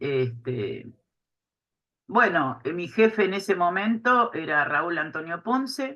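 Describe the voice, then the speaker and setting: A woman speaks at a very slow pace with a fairly low pitch. Her tone is bright and sharp, and her pitch swings very widely. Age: 60s. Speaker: retired inspector and writer, witness. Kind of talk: oral history interview. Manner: hesitant, many fillers.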